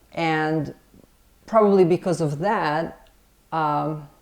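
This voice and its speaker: Woman with a very deep, low pitch and a Serbian accent, using fairly even intonation. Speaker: film director and screenwriter. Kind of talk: interview. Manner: hesitant, many fillers and restarts.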